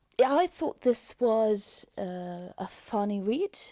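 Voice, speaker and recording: A woman with a Norwegian accent speaks very slowly in a dark, mellow tone. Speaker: book reviewer. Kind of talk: casual book review. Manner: hesitant, many fillers.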